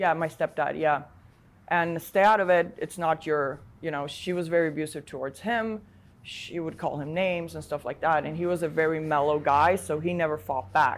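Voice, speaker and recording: A woman with a Polish accent speaks at a moderate pace in a very deep, low voice, her pitch rising and falling in an ordinary way. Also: very clean recording, silent background. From Poland and Sweden. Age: 30s. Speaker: online adult content creator. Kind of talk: interview testimony. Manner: hesitant, many fillers.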